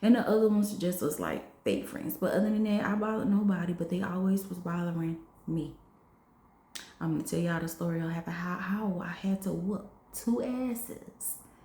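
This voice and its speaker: With audible room echo around her, a woman of medium pitch speaks at a moderate pace with ordinary pitch variation. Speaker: vlogger. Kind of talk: personal testimony vlog. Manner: conversational, repetitive.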